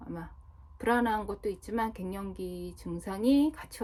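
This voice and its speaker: Recorded very cleanly against a silent background, a woman talks at a fairly slow pace. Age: 40s. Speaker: vlogger. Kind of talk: casual monologue vlog.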